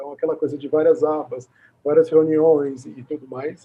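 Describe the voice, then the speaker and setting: The speaker is a man. His pitch is fairly high. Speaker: video host interviewing a speech therapist. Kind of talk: conversational recap in an interview. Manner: halting, many repeated fillers.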